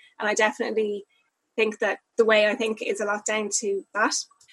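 In a Dublin accent, a woman talks at a moderate pace with a fairly high pitch. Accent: Dublin Irish. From Dublin, Ireland. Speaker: upcycling entrepreneur. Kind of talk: interview.

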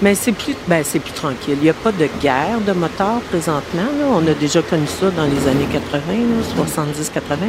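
A woman with a Quebec accent speaks at a fairly slow pace and fairly low pitch, her intonation lively and her loudness very even, against noticeable background noise. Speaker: guest cook explaining a Quebec recipe. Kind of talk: casual chat.

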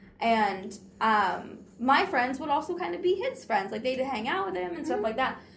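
A woman with a high pitch and very wide pitch swings speaks at a moderate pace over noticeable background noise. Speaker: romance book blogger. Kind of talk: casual chat. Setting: in-person recording at a conference.

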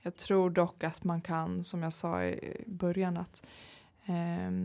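A woman talks at a fairly slow pace in a dark, mellow tone. Her pitch is fairly low, with ordinary pitch variation. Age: 30s. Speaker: entrepreneur. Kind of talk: interview. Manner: hesitant with many fillers.

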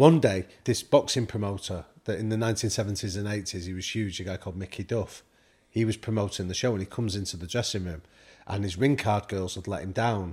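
The voice is somewhat breathy, in a northern English accent, with ordinary pitch variation. The recording is very clean, with a silent background. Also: man, fairly low pitch for a man. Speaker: professor and podcaster. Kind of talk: casual interview chat.

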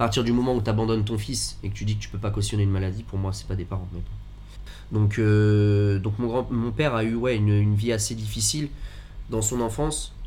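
In a room with audible echo, a man speaks fairly quickly at a fairly low pitch with fairly even intonation. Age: 20s. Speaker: business owner with chronic illness. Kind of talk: casual chat. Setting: in a bar.

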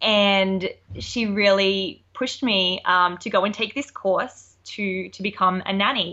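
A woman speaks with fairly even intonation in an Australian accent. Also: medium pitch for a woman, fairly slow pace. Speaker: nanny. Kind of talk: casual interview chat.

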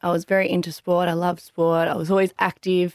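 A woman with an Australian accent speaks at a fairly quick pace and a medium pitch. The recording is very clean with a silent background, and the sound is dry and close with no echo. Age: 20s. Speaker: business owner. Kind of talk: interview.

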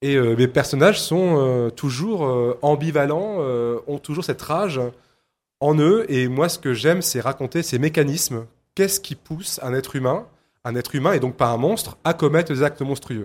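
This man speaks at a moderate pace with ordinary pitch variation and a fairly high pitch for a man, in a plain, everyday voice. The recording is very clean, with a silent background. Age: 40s. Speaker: novelist. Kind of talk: interview. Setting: live radio set at a book fair.

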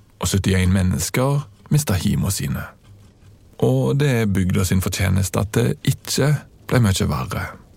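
Fairly slow and full of vocal fry, a man's very deep, low voice swings very widely in pitch. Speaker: podcast host and narrator. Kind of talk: scripted narration.

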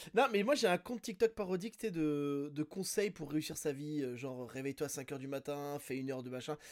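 A man's plain, everyday voice, fairly high in pitch, with lively intonation, a moderate pace and hardly any pauses. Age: 40s. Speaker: podcast host. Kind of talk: casual chat.

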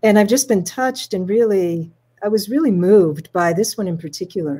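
In a very clean recording with a silent background, a woman speaks at a medium pitch with a dark, mellow tone. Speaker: host. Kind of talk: casual chat.

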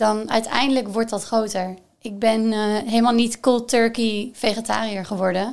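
A woman with a fairly high pitch and monotone, flat intonation at a moderate pace, on a very clean recording with a silent background. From Netherlands, Gelderland (Groesbeek). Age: 20s. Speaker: sustainability expert. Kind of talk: casual chat.

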